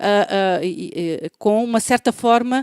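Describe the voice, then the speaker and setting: A woman speaks with a European Portuguese accent and lively intonation. The sound is dry and close, with no echo. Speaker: professor. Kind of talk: lecture. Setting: web conference. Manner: halting, many fillers.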